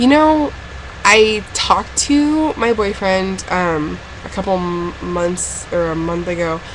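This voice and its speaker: A woman's speech carries audible room echo along with clearly audible background noise. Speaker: vlogger. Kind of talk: casual vlog.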